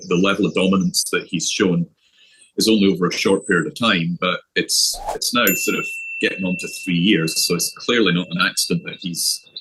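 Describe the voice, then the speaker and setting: With a Scottish accent, a man talks at a moderate pace. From Scotland. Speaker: golf coach. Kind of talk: interview.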